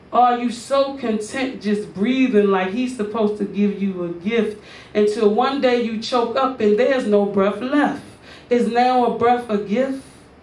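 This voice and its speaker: The words come at a fairly slow pace, with noticeable background noise behind them. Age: 30s. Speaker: spoken word poet performer. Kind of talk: spoken word poem delivered like a sermon. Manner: preacherly, rhythmic, emphatic.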